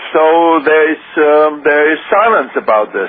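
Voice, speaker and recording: A man talks with a German accent at a high pitch. There is noticeable background noise. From Germany. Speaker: former government minister. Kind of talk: radio interview. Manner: halting.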